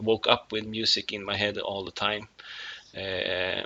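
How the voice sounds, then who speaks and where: A man with a Swedish accent speaks at a moderate pace in a fairly low pitch. His intonation is monotone and flat. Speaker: musician. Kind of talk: casual video monologue. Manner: halting, many fillers.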